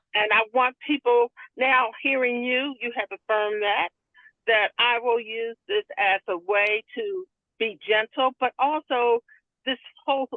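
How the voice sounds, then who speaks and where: Fairly slow delivery with long, frequent pauses and ordinary pitch variation. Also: woman. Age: 60s. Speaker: book club participant. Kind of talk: book club conversation. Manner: halting.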